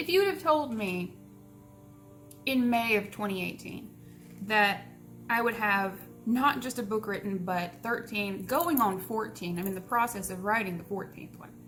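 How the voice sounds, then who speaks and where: Music in the background behind a woman's fairly high voice, at a moderate pace with ordinary pitch variation and big swings in loudness. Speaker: author. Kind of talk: casual Q&A talk to camera.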